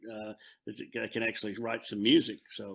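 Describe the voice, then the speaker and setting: A man talks with a Texan accent at a fairly quick pace. His tone is bright and sharp. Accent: Texan American. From Texas, Fort Worth. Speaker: country singer-songwriter. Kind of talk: interview. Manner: halting, many fillers.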